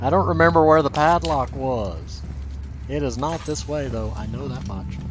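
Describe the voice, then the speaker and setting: A man with a Southern US accent talks over music in the background, with audible room echo. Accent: southern drawl. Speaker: let's play gamer. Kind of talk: gameplay commentary.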